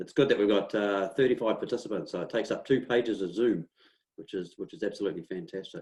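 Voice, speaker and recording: A man with a New Zealand accent, a fairly quick pace and ordinary pitch variation. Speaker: local councillor and webinar host. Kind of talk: webinar hosting. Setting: video call.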